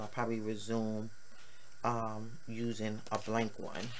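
Someone speaks at a fairly slow pace with noticeable background noise. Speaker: journaling channel host. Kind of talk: tutorial.

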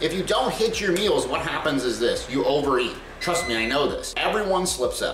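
A man talks at a fairly quick pace over light background noise, with audible room echo. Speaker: content creator. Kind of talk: casual vlog chat. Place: kitchen. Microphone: camera far.

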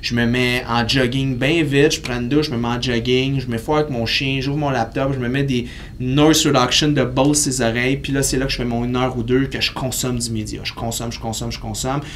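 With a Quebec accent, the speaker delivers a monotone, flat intonation at a fairly quick pace with hardly any pauses, while light background noise is present. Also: man, medium pitch for a man. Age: 30s. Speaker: kinesiologist and fitness entrepreneur; podcast guest. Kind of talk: casual interview. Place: studio.

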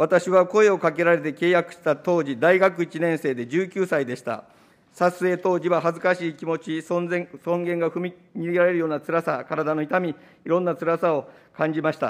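A man's high-pitched voice at a moderate pace, with fairly even intonation. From Japan. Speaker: opposition politician. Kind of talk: parliamentary committee questioning. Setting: parliament committee room. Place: meeting room. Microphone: podium.

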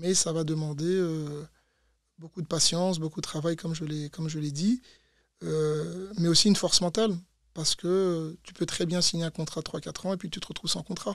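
A man speaks at a moderate pace in a high pitch, his intonation fairly even. The sound is dry with no echo, over a quiet background. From Belgium, Brussels. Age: 30s. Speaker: former footballer and fitness coach; fitness coach. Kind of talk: interview. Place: studio. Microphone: studio mic.

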